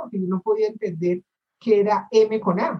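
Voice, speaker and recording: A woman speaks at a moderate pace, her pitch medium. Her voice is somewhat breathy. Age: 60s. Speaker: course participant. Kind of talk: audience question.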